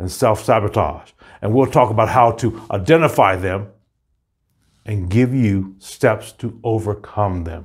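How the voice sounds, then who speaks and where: A man's fairly low voice at a moderate pace, with ordinary pitch variation over a quiet background. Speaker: motivational coach. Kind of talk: motivational pep talk and promo. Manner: energetic, upbeat, rallying; emphatic, declarative, inspirational. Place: studio. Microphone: lapel.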